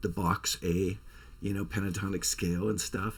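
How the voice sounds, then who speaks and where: The recording is very clean and the background silent. His voice, a man's, sits fairly low in pitch. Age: 60s. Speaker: songwriter and musician, channel host. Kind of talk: casual vlog storytelling.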